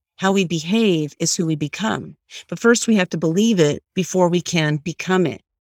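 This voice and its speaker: In a dry, close recording with no echo, a woman with a plain, everyday voice speaks at a moderate pace, her fairly low pitch showing ordinary variation. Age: 50s. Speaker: life coach and author. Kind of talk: interview testimony.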